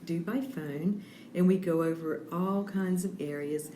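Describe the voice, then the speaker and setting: A woman speaks with a fairly low pitch and ordinary pitch variation, with audible room echo and noticeable background noise. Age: 60s. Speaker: health coach. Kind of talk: radio interview. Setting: on location at a bakery.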